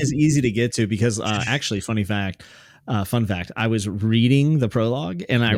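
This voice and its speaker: A man with a normal speaking voice talks at a medium pitch and a fairly quick pace, with ordinary pitch variation and very even loudness, on a very clean recording with a silent background. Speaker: podcast co-host.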